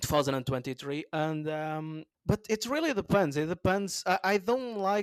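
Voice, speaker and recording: With a Portuguese accent, a man talks at a moderate pace and a fairly high pitch. The recording is very clean, with a silent background and a dry, close sound with no echo. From Portugal. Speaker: comedian. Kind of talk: interview answer.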